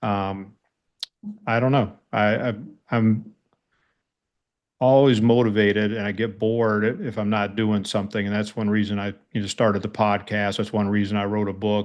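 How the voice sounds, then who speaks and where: A man with an American accent speaks at a moderate pace and fairly low pitch, his intonation monotone and flat, with long, frequent pauses. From United States. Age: 60s. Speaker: army veteran and police chief. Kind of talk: interview conversation. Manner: hesitant with fillers.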